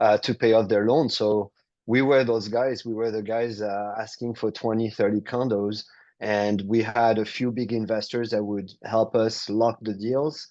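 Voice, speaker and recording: A man speaks at a fairly slow pace in a French accent, his medium-pitched voice dark and mellow. His intonation stays monotone and flat over a quiet background. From France, South of France. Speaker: real estate entrepreneur. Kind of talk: interview.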